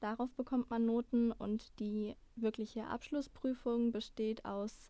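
A woman speaks very slowly at a high pitch, her tone dark and mellow and her intonation monotone and flat. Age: 20s. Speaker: trainee midwife. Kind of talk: interview.

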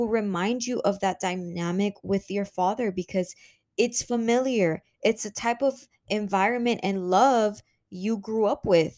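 This woman has a fairly high voice and speaks with a Spanish accent. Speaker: podcast host. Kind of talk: solo podcast monologue. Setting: home office. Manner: casual, conversational.

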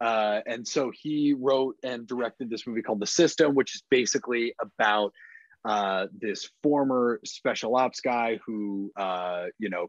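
The sound is dry and close with no echo as a man speaks in a normal speaking voice at a medium pitch with ordinary pitch variation. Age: 30s. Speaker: film industry executive. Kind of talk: casual chat.

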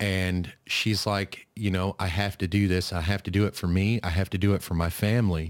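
A man speaks with a normal speaking voice at a fairly low pitch and ordinary pitch variation. The pace is moderate, and the recording is very clean with a silent background. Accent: American. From US Midwest (northeast Kansas). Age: 30s. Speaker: podcast host. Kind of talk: casual interview chat.

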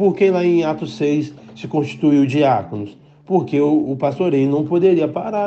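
With noticeable background noise and audible room echo, a man talks at a moderate pace using lively intonation. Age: 20s. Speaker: pastor. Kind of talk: sermon. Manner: halting.

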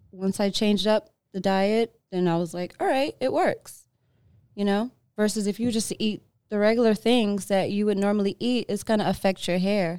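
On a very clean recording with a silent background, a woman with an American accent talks at a moderate pace in a dark, mellow tone, her pitch medium and her intonation fairly even. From New York. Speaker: singer-songwriter. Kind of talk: casual chat. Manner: many fillers, hesitant.

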